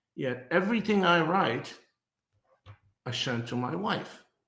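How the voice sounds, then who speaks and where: A man speaks with lively intonation. Audible room echo is present. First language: not English. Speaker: business thought leader, podcast co-host. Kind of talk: casual podcast conversation.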